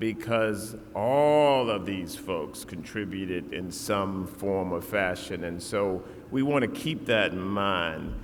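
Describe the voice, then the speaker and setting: With audible room echo around him, a man speaks at a very slow pace with lively intonation. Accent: Virginia. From Southside Virginia, Lunenburg County. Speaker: commencement speaker. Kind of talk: commencement speech. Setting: stage with audience.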